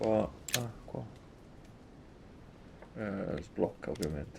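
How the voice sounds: The man's voice has a dark, mellow tone, a fairly low pitch and vocal fry. He talks at a slow pace with ordinary pitch variation.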